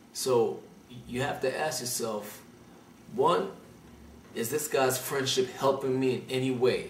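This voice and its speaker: A man talks at a moderate pace with a medium-pitched voice, and the room echo is audible. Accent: Brooklyn. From Brooklyn, New York. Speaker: call-in advice show host. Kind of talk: call-in advice show.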